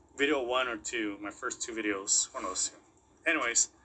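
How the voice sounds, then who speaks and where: At a moderate pace, a man with a non-native accent speaks at medium pitch in a bright, sharp tone. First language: not English. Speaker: crypto YouTuber. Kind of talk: casual commentary video. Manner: halting, repeats words.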